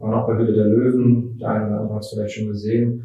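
Somewhat breathy, a man talks at a medium pitch with monotone, flat intonation. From Mecklenburg, northern Germany (Schwerin). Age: 30s. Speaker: designer and business owner. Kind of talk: interview. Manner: hesitant, many fillers.

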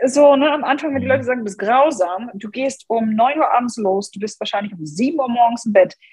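A woman's high-pitched voice with hardly any pauses, over noticeable background noise. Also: lively intonation, fairly quick pace, big swings in loudness. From Germany, Hannover. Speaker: personal branding coach. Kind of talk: podcast interview.

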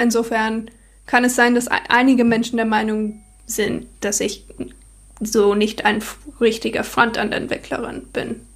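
A woman's fairly high, somewhat breathy voice with a non-native accent, fairly slow and monotone, broken by long, frequent pauses. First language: not German (speaking German). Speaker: software developer. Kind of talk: casual chat. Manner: halting.

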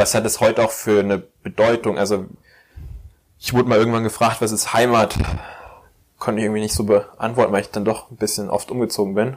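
A man at medium pitch with fairly even intonation. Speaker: podcast host. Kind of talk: casual interview chat.

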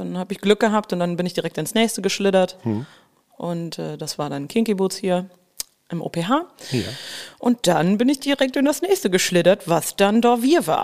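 A woman speaks at a moderate pace with a medium pitch and lively intonation. Hers is an unremarkable speaking voice. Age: 30s. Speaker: musical actress. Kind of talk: casual chat. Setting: podcast studio.

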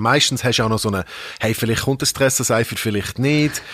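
Medium-pitched male speech, intonation fairly even. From Hong Kong. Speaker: radio host and rapper. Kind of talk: casual chat. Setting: studio.

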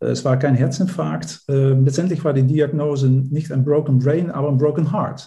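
A man with a Dutch accent talks at a moderate pace in a fairly high pitch, his tone dark and mellow. His voice is somewhat breathy, with fairly even intonation. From Netherlands. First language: Dutch (speaking German). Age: 50s. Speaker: life coach. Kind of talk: podcast interview. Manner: hesitant, with fillers and repetitions.

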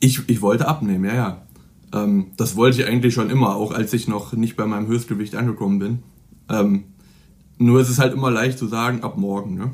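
A man talks in a normal speaking voice at a fairly quick pace, his medium pitch carried with fairly even intonation. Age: 20s. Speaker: student and fitness blogger. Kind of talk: interview.

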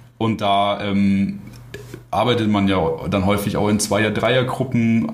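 A man's fairly low, monotone voice with flat intonation, noticeable background noise and audible room echo. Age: 20s. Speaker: paramedic and medical student. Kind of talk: casual interview.

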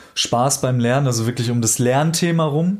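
Speaking in a plain, everyday voice, the man keeps a medium pitch with ordinary pitch variation. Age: 30s. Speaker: life coach. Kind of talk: casual interview.

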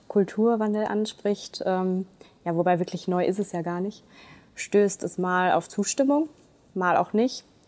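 A woman talks at a fairly slow pace in a normal speaking voice. Her pitch is medium and her intonation fairly even. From Germany, Ruhr area (Duisburg). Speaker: municipal administrator. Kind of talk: podcast interview.

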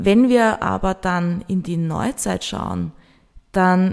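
The woman speaks at medium pitch. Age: 30s. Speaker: podcast host, marketing and event manager. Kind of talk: solo podcast monologue.

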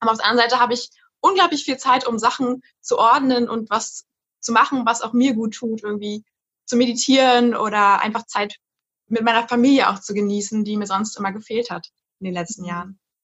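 A woman talks very fast in a high pitch with an animated, bubbly tone and ordinary pitch variation. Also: big swings in loudness. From Berlin, Germany. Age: 20s. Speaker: university student. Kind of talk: casual interview chat.

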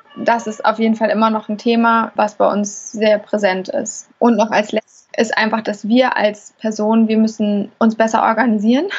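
A woman's fairly high pitch in monotone, flat intonation, moderate in pace with hardly any pauses. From Hamburg. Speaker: chef and restaurant owner. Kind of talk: interview.

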